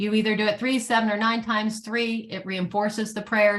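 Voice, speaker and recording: A woman talks at a very fast pace in a medium-pitched voice. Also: very clean recording, silent background. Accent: American. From US East Coast. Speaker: animal sanctuary founder. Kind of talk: conference presentation.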